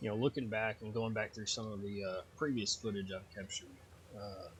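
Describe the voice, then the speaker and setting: With a Texas accent and a relaxed tone, a man speaks at a fairly quick pace and a fairly low pitch. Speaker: gaming YouTuber. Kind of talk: gameplay commentary. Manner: casual, relaxed.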